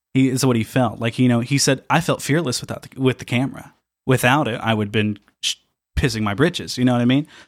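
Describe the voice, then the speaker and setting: Man with a Midwestern US accent, medium-pitched, talking very fast with ordinary pitch variation, on a very clean recording with a silent background. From southern Indiana. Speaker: analog photographer. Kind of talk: casual interview chat.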